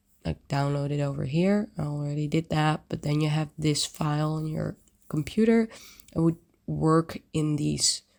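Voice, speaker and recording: A soft-spoken woman talks at a moderate pace. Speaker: 3D design community host. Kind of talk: screen-share tutorial walkthrough. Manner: casual, hesitant with fillers.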